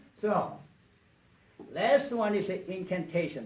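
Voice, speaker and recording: Here a man speaks with lively intonation. Audible room echo can be heard. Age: 70s. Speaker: motivational speaker and coach. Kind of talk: talk to a club meeting.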